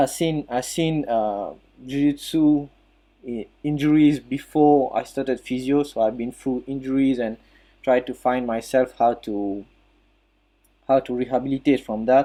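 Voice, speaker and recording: Speaking at a fairly slow pace with long, frequent pauses, a man with a French accent uses a medium pitch, a dark, mellow tone and fairly even intonation. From Mauritius. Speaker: physiotherapist and jiu-jitsu practitioner. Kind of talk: talk on an online audio chat. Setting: online audio chat room. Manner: halting, many fillers.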